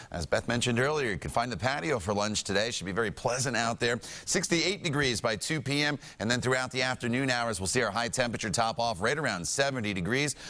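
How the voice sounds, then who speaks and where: A man's bright, sharp tone at a fairly quick pace with lively intonation. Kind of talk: weather forecast presentation. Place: studio. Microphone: lapel.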